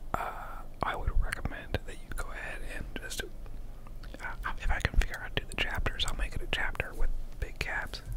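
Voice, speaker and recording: A soft-spoken man talks at a moderate pace. The sound is dry with no echo, though loud background noise is present. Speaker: vlogger. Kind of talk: casual vlog chat. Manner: soft close-mic ASMR murmur. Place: home room. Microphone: studio mic.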